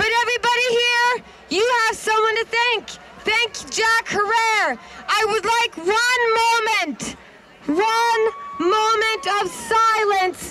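A woman speaks at a very slow pace. Loud background noise runs behind her. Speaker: speaker. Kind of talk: public speech. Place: street. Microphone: handheld.

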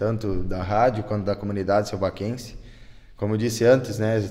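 Over a quiet background, a man with a fairly low voice talks at a fairly quick pace. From Selbach, Rio Grande do Sul, southern Brazil; Rio Grande do Sul, Brazil. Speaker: town councillor. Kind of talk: interview; interview answer. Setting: on location in council chamber. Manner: halting, many repetitions. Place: meeting room. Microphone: handheld.

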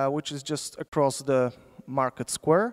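The background is quiet. The speaker has a Polish accent. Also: man. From Poland. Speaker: sociologist, symposium moderator. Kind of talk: conference moderation. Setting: lecture hall with audience. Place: hall. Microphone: handheld.

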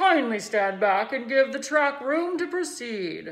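A woman speaks in a high, put-on character voice with very wide pitch swings. Her pace is fairly slow. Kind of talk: formal announcement. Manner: pompous.

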